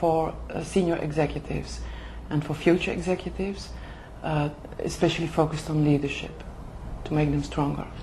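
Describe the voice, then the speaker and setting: A woman speaks at a moderate pace in a Flemish accent. There is noticeable background noise and audible room echo. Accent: Flemish Dutch accent in English. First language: Dutch. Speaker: HR manager for executive development. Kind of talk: interview. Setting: language school in Oxford. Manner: halting, many fillers.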